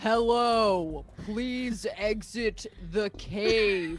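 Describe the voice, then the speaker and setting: A put-on character voice at a fairly high pitch, with clear background noise. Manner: intimidating.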